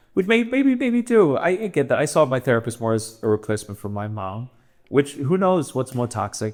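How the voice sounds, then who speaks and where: A man's medium-pitched voice with lively intonation at a fairly quick pace. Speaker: comedian. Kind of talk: casual chat. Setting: in Amsterdam, travelling. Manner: loud.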